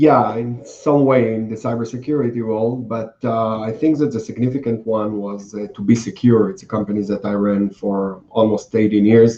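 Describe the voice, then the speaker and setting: Medium-pitched male speech with an Israeli accent, a dark, mellow tone, fairly even intonation, a moderate pace and hardly any pauses. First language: Hebrew. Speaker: cybersecurity entrepreneur. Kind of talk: interview. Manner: hesitant, many fillers.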